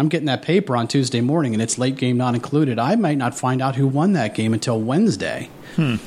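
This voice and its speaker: Speaking with a Midwestern American accent, a man keeps a fairly quick pace. His intonation is lively. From southwest Ohio. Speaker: author. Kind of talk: radio interview. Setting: studio.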